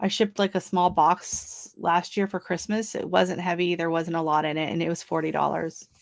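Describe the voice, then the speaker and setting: Against a quiet background, a woman with an American accent speaks at a fairly low pitch and a moderate pace, with vocal fry and fairly even intonation. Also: hardly any pauses. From US Pacific Northwest. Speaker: YouTuber and gardener; guest. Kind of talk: casual chat. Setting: video call livestream. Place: garden.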